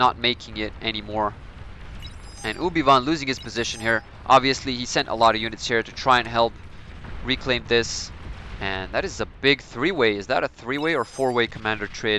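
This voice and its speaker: A man at a medium pitch with ordinary pitch variation and a fairly quick pace, amid noticeable background noise. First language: Serbian. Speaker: gaming commentator. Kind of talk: live game commentary. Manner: animated.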